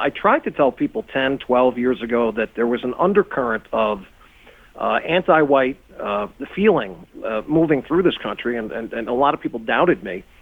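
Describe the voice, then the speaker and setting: A man's unremarkable speaking voice with an American accent, medium pitch, lively intonation and a moderate pace. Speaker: talk radio host. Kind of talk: radio interview. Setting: studio.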